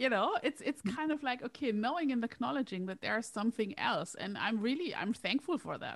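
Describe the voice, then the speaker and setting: A woman with a non-native accent talks at a fairly quick pace in a high voice with lively intonation and hardly any pauses. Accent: foreign-accented English. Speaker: career coach and hypnotherapist. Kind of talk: casual chat.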